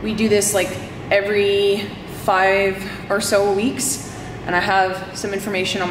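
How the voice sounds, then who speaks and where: A woman over noticeable background noise. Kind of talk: casual vlog chat. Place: farm machine. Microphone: phone near.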